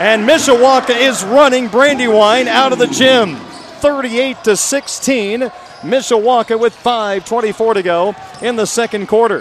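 A man with an extremely high pitch and ordinary pitch variation talks at a fairly slow pace over noticeable background noise. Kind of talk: live sports commentary. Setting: gym broadcast, radio. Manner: rattles off stats and details in a steady rhythm.

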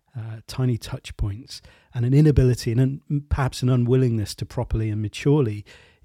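A man speaks with a dark, mellow tone, somewhat breathy, at medium pitch with ordinary pitch variation. The recording is very clean and silent behind him, with a dry, close sound and no echo. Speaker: podcast host and creativity coach. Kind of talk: interview podcast with scripted intro. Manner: gentle, reflective.

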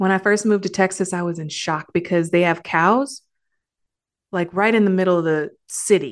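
A woman with an American accent in a plain, everyday voice, at a medium pitch and moderate pace with ordinary pitch variation, against a quiet background. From Detroit area, Michigan. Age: 40s. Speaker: nurse and podcast host. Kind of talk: solo podcast monologue. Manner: casual, conversational.

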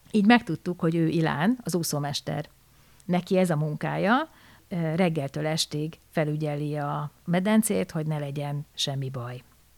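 A woman's very deep, low voice at a fairly slow pace, with ordinary pitch variation, in a very clean recording with a silent background and a dry, close sound with no echo. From Hungary. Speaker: storyteller. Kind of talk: personal story narration.

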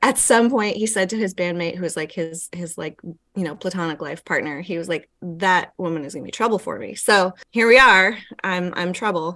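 A woman with a Pacific Northwest accent, medium pitch and a bright, sharp tone, at a moderate pace with hardly any pauses, ordinary pitch variation and big swings in loudness. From Yakima, eastern Washington. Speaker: performance artist. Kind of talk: casual chat. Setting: video call.

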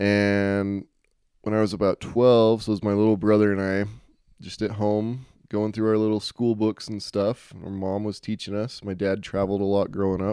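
A man speaks with an American accent at a fairly low pitch and a moderate pace. His tone is dark and mellow, his intonation monotone and flat, and the background quiet. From Utah. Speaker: podcast host. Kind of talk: solo monologue. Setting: cabin. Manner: casual, filler-heavy.

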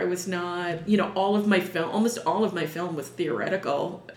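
A woman's medium-pitched speech at a moderate pace, with audible room echo and noticeable background noise. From New York City (Manhattan, Upper East Side). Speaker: sword swallower and performer. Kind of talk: interview.

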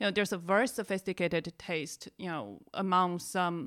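In a very clean recording with a silent background, a woman with a Chinese accent speaks at a moderate pace, her fairly low pitch showing ordinary pitch variation. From China. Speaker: podcast host, NGO communications manager. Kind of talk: casual chat.

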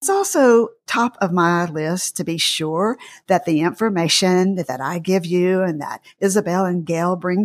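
A woman with a Southern US accent speaks at a fairly slow pace with hardly any pauses, in a very clean recording with a silent background. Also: dry, close sound with no echo. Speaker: podcast host and dietitian. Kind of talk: interview discussion.

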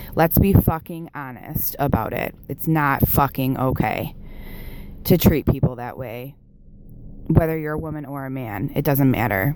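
Speaking with an American accent, a woman uses a very deep, low pitch with ordinary variation. Her pace is fairly slow, and her loudness swings widely. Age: 30s. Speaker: listener caller. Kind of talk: voicemail testimony.

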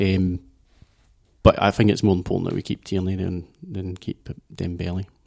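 A man with a Glasgow accent speaks at a very deep, low pitch, monotone and flat, at a moderate pace with long, frequent pauses. The recording is very clean with a silent background, and the sound is dry and close with no echo. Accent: Scottish, Glasgow. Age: 30s. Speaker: football podcast panelist. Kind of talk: casual chat.

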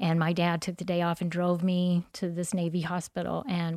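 In a very clean recording with a silent background, a woman speaks at a moderate pace with a fairly low pitch. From US South, southeast Texas. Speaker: church member, mother. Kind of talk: testimony.

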